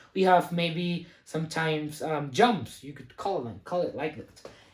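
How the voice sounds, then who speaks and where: Speaking with a non-native accent, a woman uses a somewhat breathy voice, lively intonation, and a moderate pace. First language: not English. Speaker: math teacher. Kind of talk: lecture. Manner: hesitant, many fillers.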